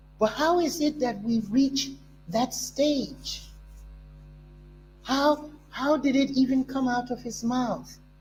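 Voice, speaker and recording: Very slow pace and long, frequent pauses over music in the background. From Liberia. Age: 70s. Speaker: talk show host. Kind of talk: political commentary.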